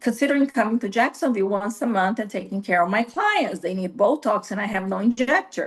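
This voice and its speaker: A medium-pitched woman with a Brazilian accent and ordinary pitch variation. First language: Portuguese. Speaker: nurse practitioner. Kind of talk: interview. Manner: halting, with frequent fillers.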